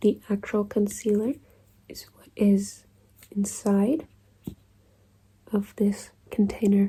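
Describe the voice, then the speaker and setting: At a very slow pace, this soft-spoken voice takes its time. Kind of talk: ASMR soft-spoken explanation. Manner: soft-spoken, slow, deliberate.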